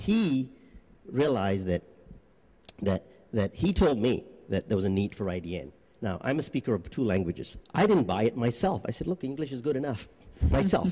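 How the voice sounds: A man with a dark, mellow tone and a slightly husky edge swings his pitch widely. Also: medium pitch for a man, moderate pace.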